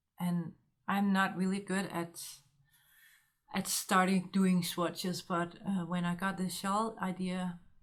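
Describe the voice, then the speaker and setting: Speaking very slowly with long, frequent pauses, a woman with a Danish accent holds a medium pitch in monotone, flat intonation. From Denmark. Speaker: knitting podcaster. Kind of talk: casual monologue vlog. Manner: halting with many fillers.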